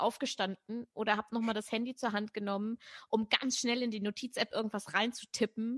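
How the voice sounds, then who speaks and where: A woman has an ordinary speaking voice, fairly high in pitch with fairly even intonation, at a moderate pace. The sound is dry and close with no echo. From northern Germany, Braunschweig. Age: 30s. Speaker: poetry slammer, presenter and author. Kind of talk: interview.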